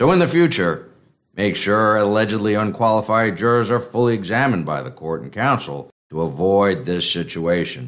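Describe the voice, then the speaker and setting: A man talks at a moderate pace in a fairly low voice. His pitch swings very widely. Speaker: noir narrator and detective character. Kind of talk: noir parody narration, dramatized. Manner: wry, gravelly film-noir delivery.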